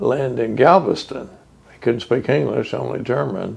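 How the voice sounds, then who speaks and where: A man speaks with a Texan accent. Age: 70s. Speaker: oral history interviewee. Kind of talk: oral history interview. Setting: museum house.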